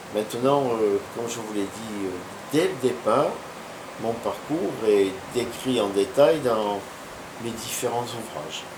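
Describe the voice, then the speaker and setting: Pitched in the medium range with ordinary variation, a man talks at a very slow pace with long, frequent pauses, amid noticeable background noise and audible room echo. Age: 60s. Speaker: martial arts master. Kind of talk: interview. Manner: hesitant with fillers.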